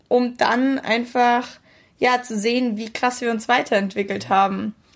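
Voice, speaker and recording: Against a very clean, silent background, a woman speaks at a fairly high pitch. Her intonation stays monotone and flat. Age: 20s. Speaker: podcast co-host, student. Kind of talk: casual chat.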